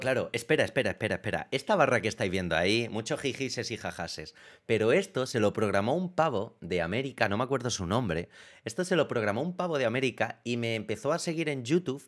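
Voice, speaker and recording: Against a quiet background, a man speaks very fast at a medium pitch with lively intonation. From Ceuta, Spain; Spain. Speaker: web development teacher; streamer. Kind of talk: casual livestream talk. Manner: lively, excited. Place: home room.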